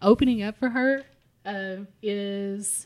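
Speaking with an Appalachian accent, a woman uses a medium-pitched voice and fairly even intonation. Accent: Appalachian Kentucky. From Harlan County, southeastern Kentucky. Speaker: podcast co-host, food blogger. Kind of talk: casual chat.

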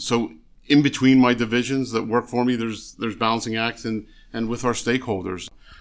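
Speaking at a moderate pace, a man has an ordinary speaking voice with medium pitch and fairly even intonation. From Philadelphia area, US. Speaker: state environmental agency official. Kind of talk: interview.

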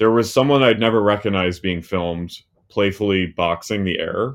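A man with a normal speaking voice and an American accent, fairly low pitch, ordinary pitch variation and a moderate pace. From US, New Jersey. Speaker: writer and podcaster. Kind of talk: casual chat.

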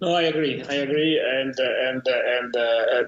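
Over noticeable background noise, a man with an Italian accent speaks at a fairly high pitch. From Italy. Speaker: tech company founder and CEO. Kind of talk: interview. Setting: remote call.

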